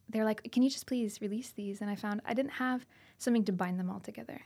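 The somewhat breathy voice holds a fairly even intonation on a very clean recording with a silent background. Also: woman. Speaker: singer-songwriter. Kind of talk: radio interview. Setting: radio studio.

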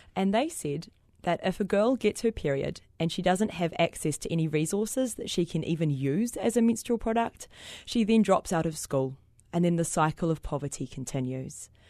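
A woman's fairly low voice with a New Zealand accent, a dark, mellow tone and lively intonation, over a quiet background. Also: moderate pace. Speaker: social entrepreneur. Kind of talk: interview. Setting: studio.

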